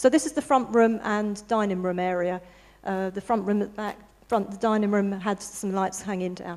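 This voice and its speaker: With a southern English accent, a woman at medium pitch speaks at a moderate pace with ordinary pitch variation. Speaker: interior designer. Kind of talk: presentation to an audience. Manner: soft-spoken; halting.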